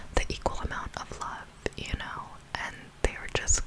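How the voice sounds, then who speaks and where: A woman whispers over noticeable background noise. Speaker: ASMR creator. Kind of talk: ASMR storytime commentary on a reality show. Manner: whispered, soft, slow.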